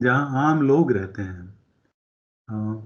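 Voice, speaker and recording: This voice belongs to a man. His pitch is medium. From Uttar Pradesh, India. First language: Awadhi (speaking Hindi). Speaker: engineer, expert guest. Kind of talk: interview.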